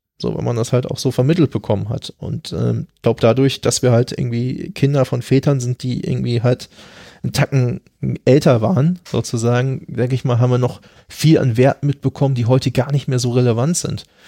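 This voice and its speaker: A man speaks at a fairly quick pace and medium pitch, with a dark, mellow tone. The sound is dry and close, with no echo. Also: fairly even intonation. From Germany. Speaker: podcast guest. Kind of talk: casual conversation about grief. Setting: in person at his home.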